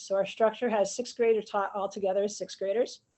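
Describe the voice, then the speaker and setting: A woman with an American accent, fairly high pitch, fairly even intonation and a fairly quick pace. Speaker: physical education teacher. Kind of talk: panel presentation on video call. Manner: fast.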